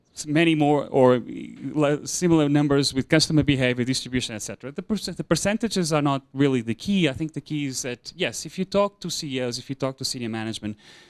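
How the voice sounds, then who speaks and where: A man with a Portuguese accent talks at a very fast pace and fairly high pitch, with ordinary pitch variation and big swings in loudness, on a very clean recording with a silent background. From Portugal. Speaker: insurance consultant. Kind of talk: conference presentation. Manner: hesitant with fillers and repetitions.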